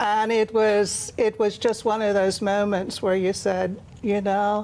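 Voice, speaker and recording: A woman speaks in an American accent with monotone, flat intonation. Her pace is fairly slow and her loudness very even. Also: medium pitch for a woman. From Ireland. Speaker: author. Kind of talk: TV interview.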